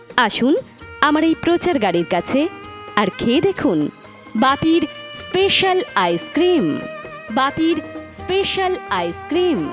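Over music in the background, a woman speaks in a high pitch with very wide pitch swings and very even loudness. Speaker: voice-over artist. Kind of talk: loudspeaker street advertisement. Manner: energetic, promotional.

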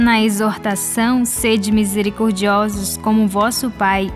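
A woman's fairly high voice at a fairly slow pace, with music in the background. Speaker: radio presenter. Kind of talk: religious radio reflection.

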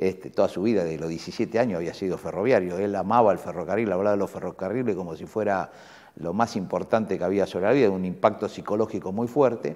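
A man talking at a very fast pace at a fairly low pitch. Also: ordinary pitch variation, quiet background. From Buenos Aires, Argentina; Argentina. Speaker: university rector; interviewee. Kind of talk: interview. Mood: warm, reflective, nostalgic. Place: office. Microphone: lapel.

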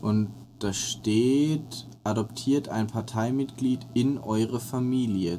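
At a very slow pace, a man speaks. His pitch is medium and his intonation fairly even. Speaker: gaming co-host. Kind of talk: casual chat. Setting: at home during quarantine.

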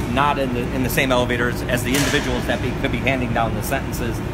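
A man talks at a very fast pace. Loud background noise runs underneath. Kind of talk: interview answer. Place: street. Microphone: phone near.

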